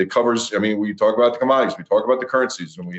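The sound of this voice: His voice sits fairly low. This man speaks at a very fast pace.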